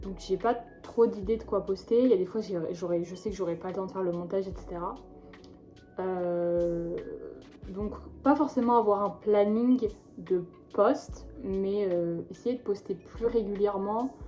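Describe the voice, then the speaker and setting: At a fairly slow pace, a woman speaks at medium pitch with ordinary pitch variation and long, frequent pauses. Music plays in the background. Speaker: vlogger. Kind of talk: vlog monologue. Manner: hesitant, many fillers.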